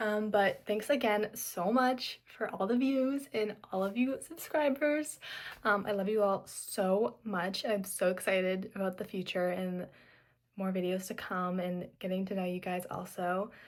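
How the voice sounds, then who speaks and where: A woman with an ordinary speaking voice talks at a fairly slow pace in a medium pitch with ordinary pitch variation. The recording is very clean, with a silent background. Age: young. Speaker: vlogger. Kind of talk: casual chat. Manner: casual, filler-heavy.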